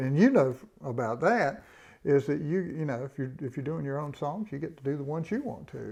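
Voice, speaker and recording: With a Southern US accent, a man speaks in a dark, mellow tone. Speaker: bluegrass musician. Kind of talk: casual interview. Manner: halting.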